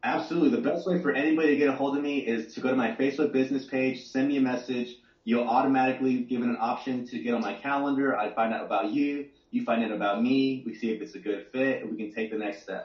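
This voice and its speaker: A man with an American accent at medium pitch, very fast and with hardly any pauses, with ordinary pitch variation. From Texas, Dallas-Fort Worth area. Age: 30s. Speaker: entrepreneur, marketing guest. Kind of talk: interview, business explanation.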